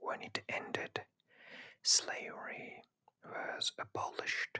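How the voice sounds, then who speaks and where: A whisper unfolds at a very slow pace. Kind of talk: scripted history narration. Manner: whispered.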